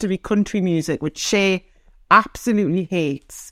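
Recorded dry and close with no echo, a woman talks at a medium pitch with ordinary pitch variation. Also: very clean recording, silent background. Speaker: host's wife. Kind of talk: casual chat.

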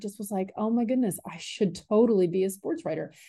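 Against a quiet background, a woman with an American accent talks at a fairly quick pace in a dark, mellow tone. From Southwest Virginia. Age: 50s. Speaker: sports journalist and university center director. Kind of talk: interview. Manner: halting, many fillers and repetitions.

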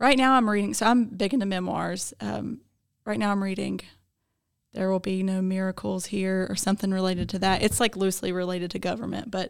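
With an American accent, a woman speaks in a normal speaking voice at a medium pitch. Her pace is fairly quick, with ordinary pitch variation. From Gaston County, North Carolina. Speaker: county government director and podcast co-host. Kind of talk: casual chat.

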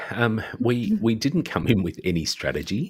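A normal speaking voice from a man, at a fairly slow pace with lively intonation. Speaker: podcaster and social worker. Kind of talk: casual chat.

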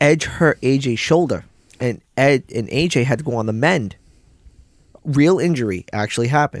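Using a plain, everyday voice, a man speaks at a moderate pace and medium pitch with ordinary pitch variation. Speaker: wrestling podcast co-host. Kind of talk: casual chat. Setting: studio.

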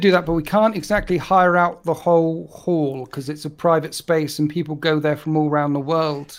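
Here is an unremarkable speaking voice, a man's, fairly high in pitch. He keeps his intonation fairly even at a moderate pace in a very clean recording with a silent background. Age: 40s. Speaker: wargaming content creator. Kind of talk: casual chat.

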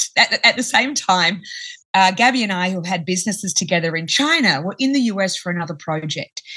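With an Australian accent, a woman speaks at a moderate pace with lively intonation. Her medium-pitched voice has a bright, sharp tone. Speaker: company founder. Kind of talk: interview.

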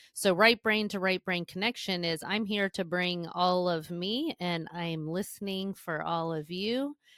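In a very clean recording with a silent background and a dry, close sound with no echo, a woman with a plain, everyday voice talks fairly slowly at medium pitch, with ordinary pitch variation and hardly any pauses. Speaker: podcast host, therapist-style educator. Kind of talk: casual chat.

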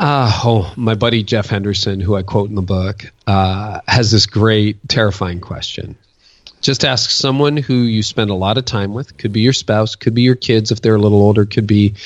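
A man with a fairly low pitch and an ordinary speaking voice talks at a moderate pace with fairly even intonation. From Ontario, Canada. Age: 50s. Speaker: pastor and author. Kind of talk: interview.

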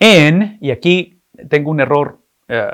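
A man's fairly high voice with very wide pitch swings, on a very clean recording with a silent background. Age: 50s. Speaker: pastor. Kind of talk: sermon.

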